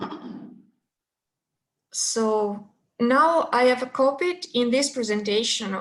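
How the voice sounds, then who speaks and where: Speaking with a non-native accent, this woman keeps her pitch variation ordinary. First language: not English. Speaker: session chair. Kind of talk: casual chat. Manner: slow.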